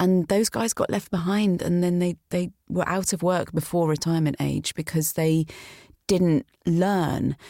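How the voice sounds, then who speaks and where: In a British accent, a woman with a fairly low pitch and a dark, mellow tone speaks at a fairly slow pace with fairly even intonation and very even loudness, the recording very clean with a silent background and a dry, close sound with no echo. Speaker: voiceover artist. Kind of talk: interview commentary.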